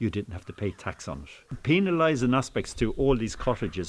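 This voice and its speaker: A man with a Waterford accent, medium in pitch, lively in intonation, at a moderate pace. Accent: Irish, Waterford. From Ireland, Waterford City. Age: 60s. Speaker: thatcher. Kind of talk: interview. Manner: casual, hesitant with fillers.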